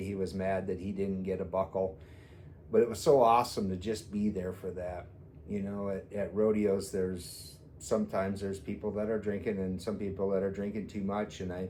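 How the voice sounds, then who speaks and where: This man's voice has a dark, mellow tone and sits fairly low. He talks at a moderate pace in a flat monotone. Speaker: grandfather. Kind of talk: casual talk to camera. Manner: heartfelt, honest.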